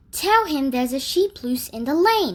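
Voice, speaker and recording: A woman's put-on character voice, high in pitch, at a moderate pace with very wide pitch swings. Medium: read story.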